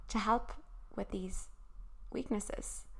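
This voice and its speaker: A woman speaks with a Cork accent. Her pace is moderate. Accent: Irish, Cork. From Ireland, Cork. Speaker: podcast host. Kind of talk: solo advice talk.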